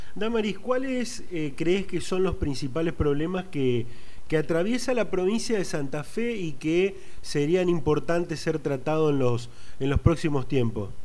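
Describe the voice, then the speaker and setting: A man's high-pitched voice with an Argentine accent, dark and mellow in tone, with very wide pitch swings, a fairly slow pace and audible room echo. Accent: Rioplatense Argentine Spanish. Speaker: political news interviewer. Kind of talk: interview.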